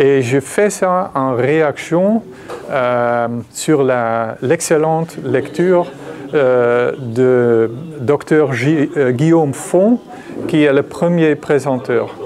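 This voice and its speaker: A man with a Dutch accent speaks very slowly at a fairly high pitch. His loudness stays very even over noticeable background noise. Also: ordinary pitch variation. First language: Dutch (speaking French). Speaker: psychiatry professor, discussant. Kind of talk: conference lecture. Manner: halting, many fillers.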